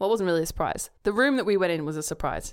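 With an Australian accent, a woman speaks at a medium pitch in a very clean recording with a silent background. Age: 30s. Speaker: podcast co-host. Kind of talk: casual chat.

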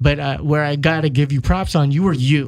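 Here a man with an ordinary speaking voice talks at a moderate pace in a fairly high pitch. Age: 40s. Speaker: jiu-jitsu podcast host. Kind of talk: casual interview chat.

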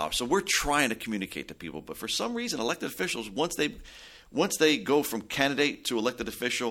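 A man with an American accent speaks at a very fast pace in a bright, sharp tone. The recording is very clean, with a silent background. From New Jersey, Belleville. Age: 40s. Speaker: mayor. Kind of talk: interview. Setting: studio.

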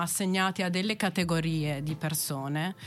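There is music in the background as a woman speaks at a moderate pace with a fairly low pitch and ordinary pitch variation. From Italy, Verona. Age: 30s. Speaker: landscape architect and PhD researcher. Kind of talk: interview.

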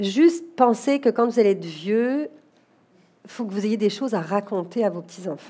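Lively intonation at a moderate pace in an unremarkable speaking voice. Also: woman, fairly high pitch for a woman. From France, Paris. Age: 40s. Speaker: executive recruiter and company director. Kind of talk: interview before a live audience.

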